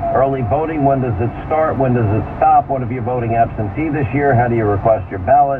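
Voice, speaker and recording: There is noticeable background noise as a man speaks at a fairly quick pace. His pitch is medium, with ordinary variation. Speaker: talk radio host. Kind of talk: talk radio promo and teaser.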